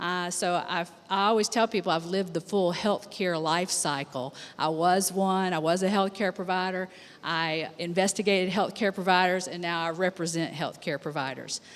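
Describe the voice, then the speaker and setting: A plain, everyday voice speaks with an American accent at a moderate pace. The intonation stays fairly even. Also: woman, medium pitch for a woman. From USA. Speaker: healthcare attorney. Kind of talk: conference panel introduction.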